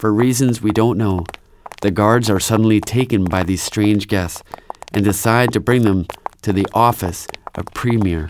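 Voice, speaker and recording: Against noticeable background noise, a man with fairly low pitch speaks at a moderate pace in an animated, dramatic tone. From Canada. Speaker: storyteller and preacher. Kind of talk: storytelling, dramatized retelling with character voices. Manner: animated, dramatic narration.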